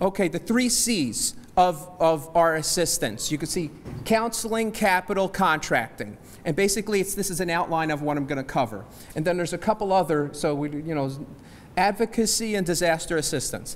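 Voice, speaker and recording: A high-pitched man with an American accent, fairly quick and with lively intonation. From New Jersey. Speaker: small business agency representative. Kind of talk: seminar presentation. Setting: church hall with audience. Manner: fast.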